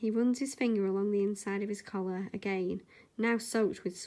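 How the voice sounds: Intonation here is fairly even. It is a natural reading voice.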